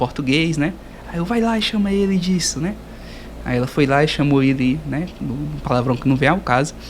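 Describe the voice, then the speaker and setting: Moderately paced male speech over noticeable background noise. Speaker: podcast host, geography student. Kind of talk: casual interview.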